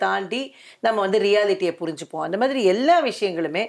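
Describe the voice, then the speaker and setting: A woman speaks in an ordinary speaking voice with a medium pitch and lively intonation. The recording is very clean, with a silent background. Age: 60s. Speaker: interviewer. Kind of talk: interview.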